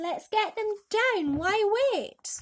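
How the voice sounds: Putting on a character voice, a woman speaks slowly at an extremely high pitch. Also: lively intonation.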